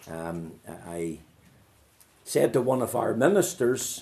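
A man speaks with a Northern Irish accent. His intonation is lively. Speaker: pastor. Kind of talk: sermon.

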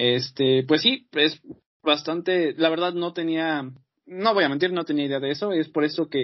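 A man's normal speaking voice, fairly high in pitch. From Mexico. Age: 20s. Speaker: podcast host. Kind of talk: casual chat. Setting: video call.

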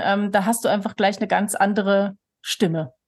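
The voice belongs to a woman. There is a somewhat breathy quality to it. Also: quiet background. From Switzerland, near Lake Thun, moved to Germany at 13. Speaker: author and association chair. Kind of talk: casual interview.

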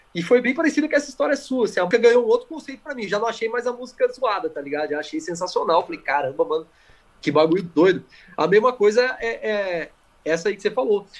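Very wide pitch swings mark a man's high voice as he talks at a very fast pace. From Campinas, São Paulo state, Brazil. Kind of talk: casual chat.

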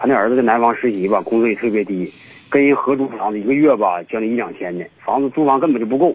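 The delivery comes at a very fast pace. Pitch varies in an ordinary way. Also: man, medium pitch for a man. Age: 50s. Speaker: caller with a relationship problem. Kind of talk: phone-in call. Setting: phone call. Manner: halting, many fillers.

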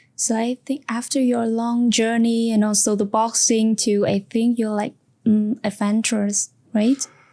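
On a very clean recording with a silent background, a woman with a Vietnamese accent speaks at a fairly slow pace in a fairly high voice with a dark, mellow tone, monotone, flat intonation and very even loudness. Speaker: podcast host. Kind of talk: interview.

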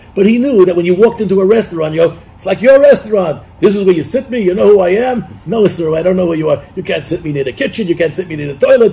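A man speaks very fast, with a high pitch. Background noise is noticeable. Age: 60s. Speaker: former comedy writer. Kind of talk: interview. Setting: studio. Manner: animated.

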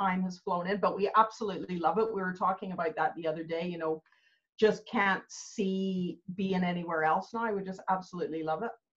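An ordinary speaking voice, a woman with a Canadian accent speaks at medium pitch and a fairly quick pace with fairly even intonation. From Canada. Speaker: business coach. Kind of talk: casual interview chat.

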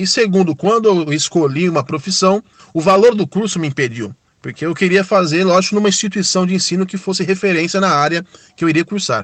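Ordinary pitch variation marks this man's high-pitched voice as he talks at a fairly quick pace. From São Paulo, Brazil. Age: 30s. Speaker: ride-hailing driver. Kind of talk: recorded testimony.

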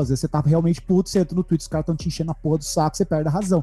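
A man's fairly high pitch in a dark, mellow tone, with fairly even intonation. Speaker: podcaster. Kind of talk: casual chat.

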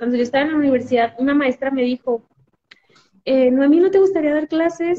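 A woman's high voice in a Mexican accent, with ordinary pitch variation. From Mexico, Jalisco. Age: 20s. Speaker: physiotherapist. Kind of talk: interview.

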